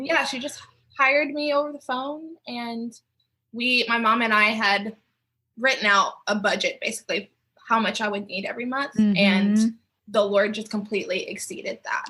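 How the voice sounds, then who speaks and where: A woman with a Southern US accent has a fairly high pitch and a bright, sharp tone. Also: ordinary pitch variation, moderate pace. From Mississippi, US. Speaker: professional dancer. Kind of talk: interview answer.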